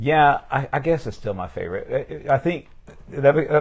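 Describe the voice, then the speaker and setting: There is a somewhat breathy quality to this man's voice, which carries an American accent. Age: 50s. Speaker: pastor. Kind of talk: casual interview. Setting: livestream. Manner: fast.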